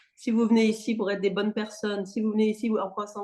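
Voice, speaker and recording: A woman's animated, fairly high-pitched voice at a fairly quick pace. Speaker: non-violence trainer. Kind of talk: workshop discussion. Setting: video call.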